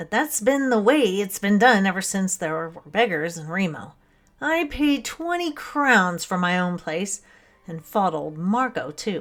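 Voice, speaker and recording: Putting on a character voice, a man speaks high at a moderate pace. His intonation is lively. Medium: read story. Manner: stolid, grumbling.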